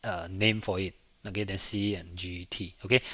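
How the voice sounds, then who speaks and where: In a very clean recording with a silent background, a man with a bright, sharp tone speaks at a fairly slow pace. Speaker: programming lecturer. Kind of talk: lecture. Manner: halting, frequent fillers.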